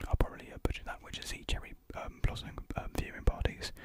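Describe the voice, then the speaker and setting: A soft-spoken man is whispering. The sound is dry, with no echo. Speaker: youtuber. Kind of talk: casual unboxing vlog chat, mukbang style. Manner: soft close-mic whisper, hesitant reading. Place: home room. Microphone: studio mic.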